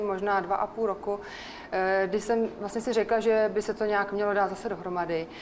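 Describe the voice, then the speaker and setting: Moving at a moderate pace, a plain, everyday voice speaks. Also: woman. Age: 40s. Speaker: guest sharing personal story. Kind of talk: personal testimony in radio chat.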